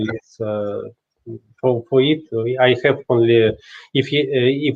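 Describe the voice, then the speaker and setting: Speaking at a very slow pace, a man with a Russian accent uses a medium pitch. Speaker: watchmaker and inventor. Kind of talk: interview answers. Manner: halting, many hesitations.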